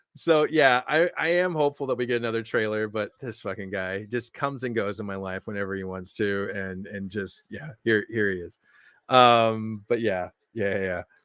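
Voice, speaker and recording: A man speaks at a moderate pace with a fairly low pitch and ordinary pitch variation. The recording is very clean, with a silent background and a dry, close sound with no echo. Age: 30s. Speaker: streamer and comics fan. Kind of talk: casual live stream chat. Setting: live stream. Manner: loud.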